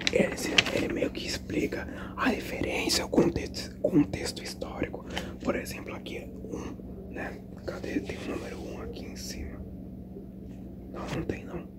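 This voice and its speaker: Whispering at a fairly slow pace, the speaker leaves long, frequent pauses over noticeable background noise. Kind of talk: ASMR book reading. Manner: whispered.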